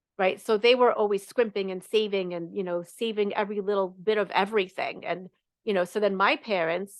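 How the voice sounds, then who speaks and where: This woman sounds animated, speaking at a moderate pace with a medium pitch. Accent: New York. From New York. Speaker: money coach. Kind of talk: live coaching session talk.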